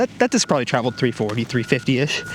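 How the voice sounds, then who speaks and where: Very fast speech from a man with very wide pitch swings and noticeable background noise. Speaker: disc golf YouTuber. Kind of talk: casual on-course commentary. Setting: outdoors on a disc golf course. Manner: fast-talking.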